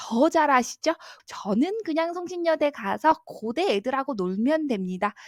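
In a very clean recording with a silent background and a dry, close sound without echo, a woman talks at a fairly slow pace in an animated tone, her high voice making very wide pitch swings. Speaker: art school admissions YouTuber. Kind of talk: educational vlog talk.

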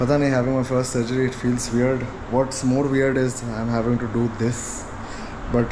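A man at a moderate pace, with noticeable noise in the background. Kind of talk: casual vlog chat. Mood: nervous but light-hearted. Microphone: phone near.

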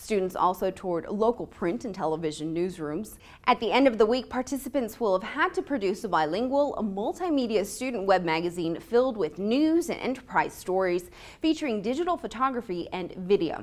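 A woman talks at a fairly quick pace, her pitch swinging very widely. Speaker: university newscast anchor. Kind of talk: news anchor read. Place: classroom.

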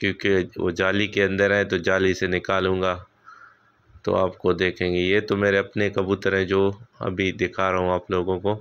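Speaking at a moderate pace, a man has a low pitch and monotone, flat intonation. His tone is clear, smooth and fairly bright.

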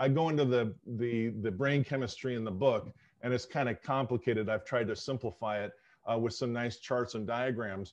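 With an American accent, a man talks at a moderate pace and with fairly even intonation over a quiet background. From Southern California. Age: 60s. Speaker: sociologist and author. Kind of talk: interview. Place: home room. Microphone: video call.

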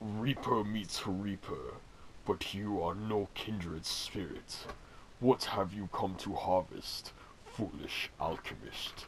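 A man puts on a character voice at a fairly slow pace, his pitch fairly low and his intonation fairly even, with clear background noise behind him. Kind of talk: theatrical. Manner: dramatic, menacing.

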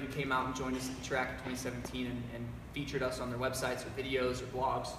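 Very fast speech with noticeable background noise and audible room echo. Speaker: company presenter. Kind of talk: live announcement chat. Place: garage. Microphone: camera far.

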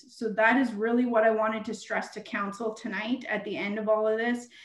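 Over a quiet background with audible room echo, a woman speaks at a fairly high pitch with fairly even intonation. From Canada. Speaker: municipal treasurer. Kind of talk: council meeting presentation. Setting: video call. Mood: earnest, emphatic. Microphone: video call.

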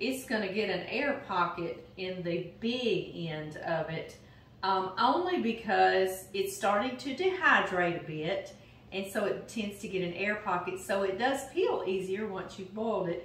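Slowish in pace, a woman speaks with ordinary pitch variation. Audible room echo and light background noise come through. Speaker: home cooking host. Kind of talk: casual cooking tutorial chat. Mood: warm, cheerful. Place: kitchen. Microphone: camera far.

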